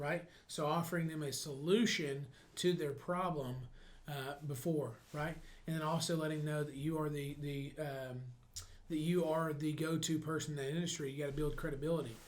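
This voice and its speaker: A man's somewhat breathy, fairly high voice at a moderate pace. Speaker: real estate coach. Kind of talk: motivational sales coaching talk.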